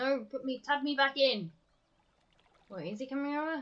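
Projected and raised, a woman's high-pitched voice has a bright, sharp tone and moves at a moderate pace. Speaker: streamer. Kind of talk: casual gaming live-stream commentary.

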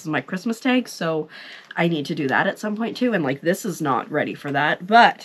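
With light background noise behind her, a woman talks at a fairly quick pace with lively intonation. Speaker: vlogger. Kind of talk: casual vlog chat. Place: home room. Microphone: lapel.

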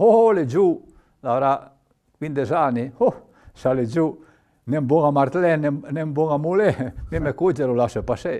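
A man's voice has a dark, mellow tone. He speaks at a fairly slow pace with lively intonation. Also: quiet background. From Piedmont, Valle Maira; Piedmont. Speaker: retired doctor and author; TV guest. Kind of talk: interview storytelling. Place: studio.

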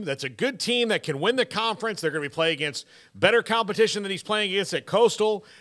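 A man speaks in a bright, sharp tone. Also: quiet background. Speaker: sports radio host. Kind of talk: commentary. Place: studio. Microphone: studio mic.

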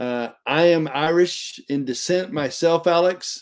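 A man with a South Texas accent speaks with ordinary pitch variation against a quiet background. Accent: Southern Texas. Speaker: Bible study teacher. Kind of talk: casual chat. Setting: live stream. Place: home room. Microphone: webcam.

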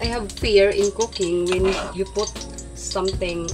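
Clear music sits in the background while a woman speaks at a fairly slow pace. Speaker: home cook vlogger. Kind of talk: casual vlog chat. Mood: a bit nervous, playful. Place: kitchen. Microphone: phone near.

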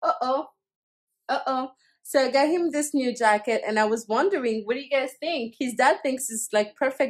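Against a quiet background, a woman talks at a moderate pace with a high pitch. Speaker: family vlogger. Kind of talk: casual vlog chat. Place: home room. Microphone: phone near.

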